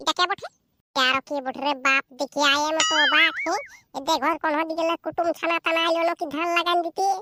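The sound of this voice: A cartoonish character voice at a fairly quick pace. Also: man, extremely high pitch for a man.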